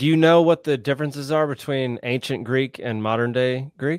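A man with an American accent and a normal speaking voice talks at a moderate pace, medium pitch and ordinary pitch variation. The sound is dry and close with no echo, on a very clean recording with a silent background. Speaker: podcast host. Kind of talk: casual interview.

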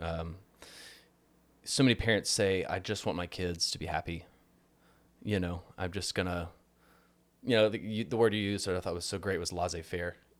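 At a moderate pace with long, frequent pauses, a man with a very deep, low pitch speaks in an American accent using fairly even intonation. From rural Texas. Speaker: podcast host. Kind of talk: casual interview with scripted intro and outro.

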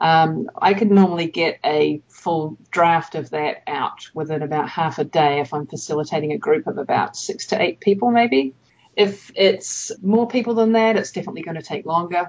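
A woman with a New Zealand accent speaks at a fairly low pitch. Her intonation is lively, and she hardly pauses. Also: moderate pace. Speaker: evaluation consultant. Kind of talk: interview. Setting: remote call.

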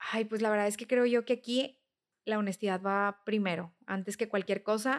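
Speaking at a moderate pace with a Mexican accent, a woman holds a fairly high pitch in a monotone, flat intonation on a very clean recording with a silent background. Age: 30s. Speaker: nutritionist. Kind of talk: interview.

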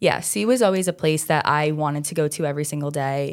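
Speaking in a very deep, low register, a woman talks with an American accent. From Staten Island, New York (South Shore). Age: 20s. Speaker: medical student. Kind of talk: casual interview.

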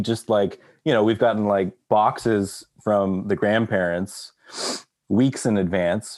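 Very slowly, a man with an American accent talks in a fairly low voice. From Texas. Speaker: orchestral clarinetist. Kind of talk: casual chat.

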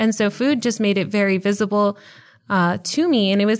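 In a very clean recording with a silent background, a woman with an American accent uses a normal speaking voice at a fairly quick pace, with medium pitch and ordinary pitch variation. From El Paso, Texas. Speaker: professor. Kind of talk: interview conversation.

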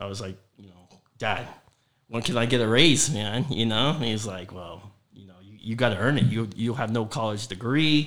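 A man with an American accent talks with ordinary pitch variation and big swings in loudness, and audible room echo fills the recording. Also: medium pitch for a man, moderate pace. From Southwest Florida (Fort Myers, Cape Coral, Naples). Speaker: mortgage broker and company owner. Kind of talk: casual interview chat. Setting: office studio.

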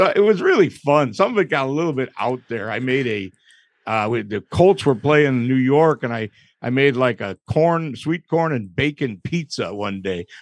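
In an ordinary speaking voice with an American accent, a man talks at a medium pitch and a moderate pace with lively intonation. The sound is dry and close with no echo, and the background is quiet. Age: 60s. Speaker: barbecue pitmaster. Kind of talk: casual chat. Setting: studio with live audience.

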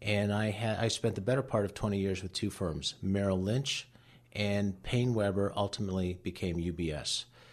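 A man's fairly low voice at a moderate pace over a quiet background. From Cleveland, Ohio. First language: Latvian. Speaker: wealth manager. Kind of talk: radio interview.

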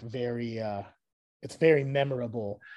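Against a quiet background, a man with an American accent speaks at a medium pitch with fairly even intonation. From Los Angeles, US (South Whittier). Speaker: hardcore punk band musician. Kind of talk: casual interview. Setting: video call.

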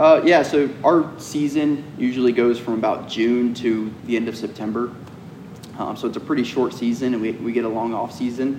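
A man's fairly even, medium-pitched speech at a moderate pace with an American accent, amid noticeable background noise. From US South, Georgia (Cumming). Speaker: professional off-road racer. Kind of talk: casual interview. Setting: race shop.

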